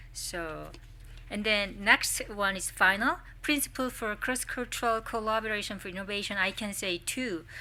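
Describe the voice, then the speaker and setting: Speaking with a Korean accent, a woman uses a bright, sharp tone at medium pitch and a moderate pace. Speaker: social welfare professor, symposium presenter. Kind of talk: academic presentation. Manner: halting.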